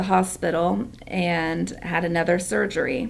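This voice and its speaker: Her fairly low pitch carries lively intonation and vocal fry as this woman speaks. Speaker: product seller sharing personal story. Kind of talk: testimony.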